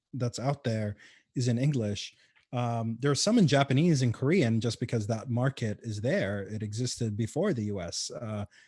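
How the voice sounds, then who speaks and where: A man speaks at a moderate pace with a somewhat breathy voice. The recording is very clean, with a silent background. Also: medium pitch for a man, ordinary pitch variation. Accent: Arabic. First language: Arabic. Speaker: game developer and community organizer. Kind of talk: casual interview. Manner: hesitant, many fillers.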